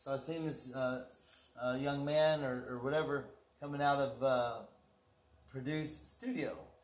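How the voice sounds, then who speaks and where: With a Texas accent, a man with a fairly high pitch speaks at a fairly slow pace in a monotone, flat intonation, leaving long, frequent pauses. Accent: Texas Southern. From Texas (Houston, Galveston) and Oklahoma. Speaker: guest, construction superintendent. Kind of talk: casual chat. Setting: studio.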